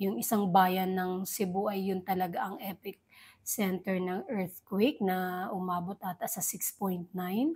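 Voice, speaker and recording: At a fairly slow pace, a woman with a medium pitch and a somewhat breathy voice keeps her intonation fairly even. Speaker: entertainment news vlogger. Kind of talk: casual vlog commentary.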